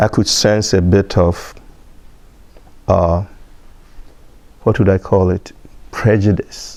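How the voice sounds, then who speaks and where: A man talks at a very slow pace. His pitch is fairly low and his intonation fairly even. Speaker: immigrant interviewee. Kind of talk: personal testimony.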